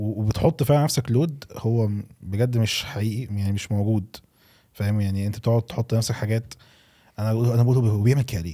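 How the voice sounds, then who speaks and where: A man with an Egyptian accent, medium pitch and a dark, mellow tone, at a moderate pace with ordinary pitch variation. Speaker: podcast host. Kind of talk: casual podcast interview. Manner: animated.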